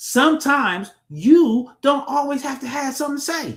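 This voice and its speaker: A man with an extremely high-pitched voice speaks at a moderate pace in an animated tone. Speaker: relationship talk show host. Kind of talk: casual chat. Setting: live stream.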